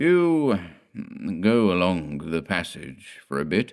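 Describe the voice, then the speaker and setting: A man performs a put-on character voice with a very deep, low pitch. He speaks at a very slow pace with lively intonation. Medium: read story. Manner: curt, ominous.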